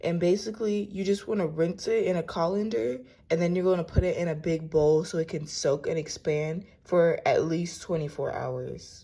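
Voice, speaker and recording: A woman uses a raspy, put-on character voice with fairly low pitch. She talks at a moderate pace with hardly any pauses. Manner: groggy.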